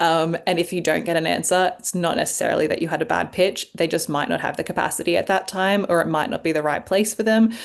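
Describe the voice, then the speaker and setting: A woman with an Australian accent talks at a very fast pace. Her pitch is fairly low and her intonation fairly even. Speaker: journalist and sexologist. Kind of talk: interview.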